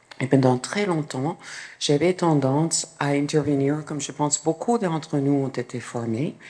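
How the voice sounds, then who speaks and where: This voice has a dark, mellow tone and a strong American accent. It goes at a fairly slow pace with ordinary pitch variation. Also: woman, very deep, low pitch for a woman. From New York, US. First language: English (speaking French). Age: 60s. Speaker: clinical psychologist. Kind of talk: conference talk.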